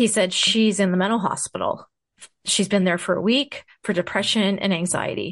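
A normal speaking voice moves at a moderate pace with ordinary pitch variation and very even loudness, against a quiet background. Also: woman, medium pitch for a woman. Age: 50s. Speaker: podcast host and mother, interview guest. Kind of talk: casual interview, personal story.

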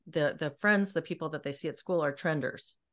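Against a quiet background, a woman speaks in an unremarkable speaking voice. Her pitch is fairly low, with ordinary variation. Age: 40s. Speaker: podcast host. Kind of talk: interview.

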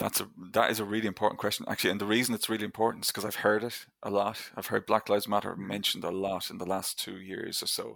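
A man with an Irish accent speaks at a very fast pace with hardly any pauses. His fairly low voice stays monotone and flat over a very clean recording with a silent background. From Ireland. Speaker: history lecturer. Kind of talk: interview.

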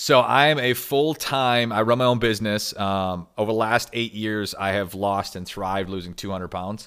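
A man with an American accent, fairly low in pitch, at a moderate pace with ordinary pitch variation and hardly any pauses, in a very clean recording with a silent background. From Michigan, US. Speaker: weight loss author and business owner. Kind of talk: casual interview. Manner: animated.

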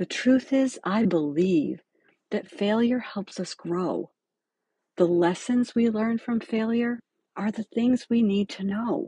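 Somewhat breathy and dark, mellow in tone, a woman speaks at a very slow pace with lively intonation. The sound is dry and close, with no echo. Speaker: podcast host and dental hygiene educator. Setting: podcast recording.

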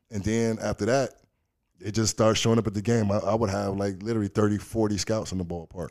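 A man speaks very fast at a fairly low pitch. His intonation stays fairly even. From Chicago South Side. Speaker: former pro baseball player and author. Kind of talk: casual interview chat.

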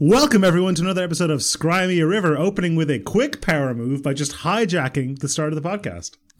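A man speaks in a high voice at a very fast pace with hardly any pauses. His intonation is lively, with noticeable background noise behind him. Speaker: podcast co-host. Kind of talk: casual chat.

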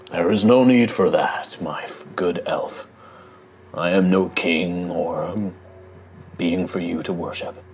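In a put-on character voice, a man rumbles at a very deep, low pitch, speaking at a fairly slow pace with long, frequent pauses. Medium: actual play. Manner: solemn, formal.

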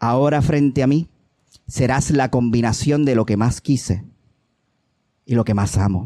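A man's dark, mellow voice moves through ordinary pitch changes in a dry, close recording with no echo. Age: 40s. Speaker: poet. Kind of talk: poetry reading. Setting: open mic stage with audience.

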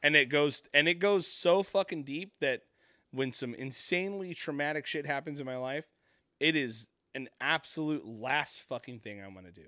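In a very clean recording with a silent background and a dry, close sound with no echo, a man speaks at a moderate pace in a fairly high pitch, with a bright, sharp, animated tone, ordinary pitch variation and big swings in loudness. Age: 40s. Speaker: podcast host. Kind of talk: casual chat. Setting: studio.

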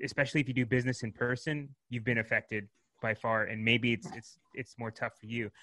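An ordinary speaking voice with fairly even intonation against a quiet background. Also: man. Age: 30s. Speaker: marketing agency founder. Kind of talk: interview.

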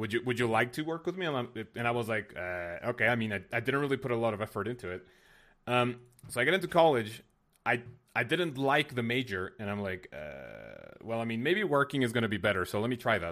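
The speech comes at a very fast pace with lively intonation. The recording is very clean, with a silent background. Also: man, medium pitch for a man. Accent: Spanish. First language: Spanish. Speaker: game streamer and video creator. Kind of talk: casual interview chat.

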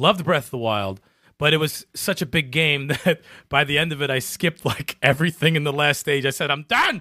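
In a normal speaking voice, a man talks at a fairly quick pace. His pitch is fairly high with ordinary variation. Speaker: podcast co-host. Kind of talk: casual chat, live stream. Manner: casual, profane.

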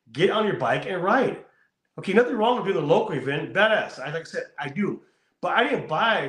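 Lively in intonation, a man with an American accent speaks at a fairly quick pace. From California. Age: 40s. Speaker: motorcycle show host and biker. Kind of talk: casual interview.

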